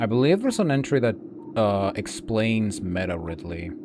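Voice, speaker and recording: Lively intonation from a male speaker at medium pitch, with noticeable background noise behind him. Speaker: gaming streamer. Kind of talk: gameplay commentary. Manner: soft-spoken; halting.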